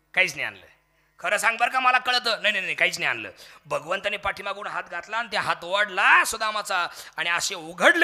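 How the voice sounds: Spoken in a natural reading voice.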